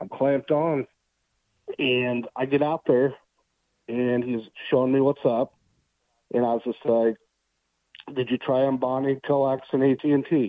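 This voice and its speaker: In an American accent, a man at medium pitch talks at a fairly slow pace with a monotone, flat intonation and long, frequent pauses. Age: 30s. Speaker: utility locator. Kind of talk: casual chat.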